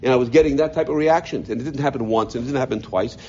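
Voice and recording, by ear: A man speaks at a medium pitch with a slightly mellow tone. His pitch varies in an ordinary way.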